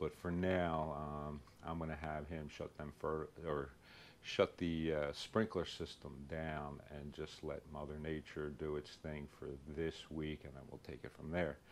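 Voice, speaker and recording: A man speaks at a fairly slow pace with a very deep, low pitch. His intonation stays monotone and flat. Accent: strong Philadelphia. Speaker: lawn care YouTuber. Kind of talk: casual vlog tutorial. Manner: hesitant, many fillers.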